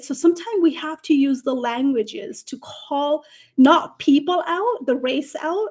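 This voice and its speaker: With a non-native accent, a woman sounds animated, speaking in a high voice with lively intonation. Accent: foreign. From Nepal. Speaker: career coach. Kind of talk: live stream panel discussion.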